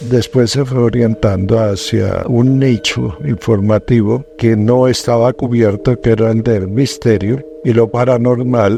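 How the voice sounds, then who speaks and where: Amid noticeable background noise, a man with a medium pitch and ordinary pitch variation speaks at a fairly slow pace, with very even loudness and hardly any pauses. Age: 70s. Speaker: paranormal TV journalist. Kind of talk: interview testimony.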